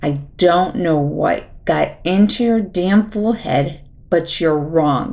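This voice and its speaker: A woman puts on a growling character voice, fairly low in pitch, with a calm tone. She speaks very slowly with lively intonation. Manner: deadly calm, growling.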